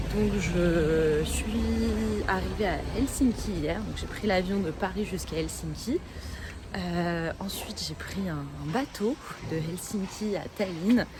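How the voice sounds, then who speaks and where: Speaking at a very slow pace, a woman is heard with audible room echo and noticeable background noise. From France. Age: 20s. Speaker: travel vlogger. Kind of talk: travel vlog. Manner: hesitant, many fillers.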